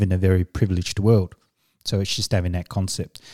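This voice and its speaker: On a very clean recording with a silent background, a man with a dark, mellow tone and fairly low pitch speaks in a monotone, flat way. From Samoa, then New Zealand from age 10. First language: Samoan. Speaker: executive coach and business consultant. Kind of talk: interview conversation. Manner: hesitant with fillers.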